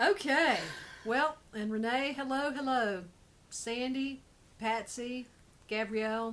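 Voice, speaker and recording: A high-pitched woman's voice with long, frequent pauses and noticeable background noise. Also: ordinary pitch variation. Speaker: show co-host. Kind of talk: casual chat. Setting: Facebook live stream. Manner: fast.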